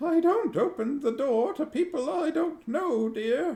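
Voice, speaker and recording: In a put-on character voice, a man speaks at an extremely high pitch. His delivery is shaky and fairly slow. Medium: read story. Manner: wary, calls everyone dear.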